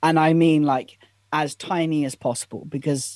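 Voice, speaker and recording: A man's fairly high voice with a British accent. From Britain. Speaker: productivity content creator. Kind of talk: casual interview.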